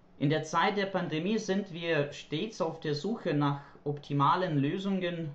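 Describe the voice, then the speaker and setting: A fairly slow delivery, pitch varying in an ordinary way, with audible room echo. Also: man. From Ukraine. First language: Ukrainian or Russian (speaking German). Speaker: German language teacher. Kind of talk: prepared monologue. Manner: formal.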